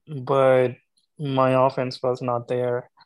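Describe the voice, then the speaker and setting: At a very slow pace, a man speaks in a medium pitch with a Pakistani accent. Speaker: beatball player. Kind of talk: casual chat.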